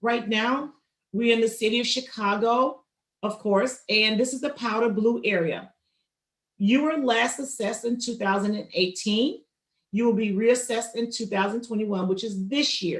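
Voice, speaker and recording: Her pitch fairly high, a woman with a normal speaking voice keeps fairly even intonation at a moderate pace. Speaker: county assessor's office outreach speaker. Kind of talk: public information presentation.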